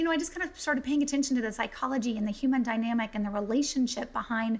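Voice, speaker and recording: A woman with an American accent speaks at high pitch with ordinary pitch variation. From US South, South Carolina. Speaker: business referral consultant. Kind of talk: podcast interview. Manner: fast.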